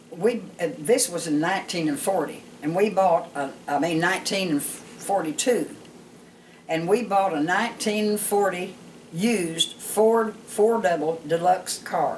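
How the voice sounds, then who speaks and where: At a fairly unhurried pace, the talking comes through with background noise clearly present. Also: woman, medium pitch for a woman, ordinary pitch variation. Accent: Southern US. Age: 80s+. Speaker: storyteller grandmother. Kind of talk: personal life story told to family.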